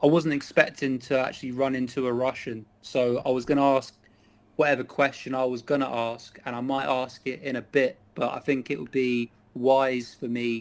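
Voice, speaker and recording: A man speaks in a medium pitch with an English accent. His intonation is monotone and flat, at a moderate pace. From England. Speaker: chat stranger in online video chat. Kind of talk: casual political discussion.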